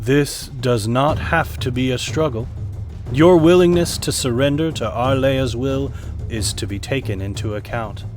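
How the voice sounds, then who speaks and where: In a put-on character voice, a man sounds gravelly at a medium pitch. He keeps a moderate pace against clear background noise. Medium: read story. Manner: slow, solemn, formal.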